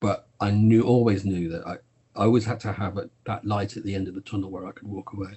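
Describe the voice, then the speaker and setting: A man in a Birmingham accent talks at a very fast pace with a fairly low pitch, a somewhat breathy voice, monotone, flat intonation and big swings in loudness. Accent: regional Birmingham. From Birmingham, English West Midlands. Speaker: TV producer. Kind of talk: interview.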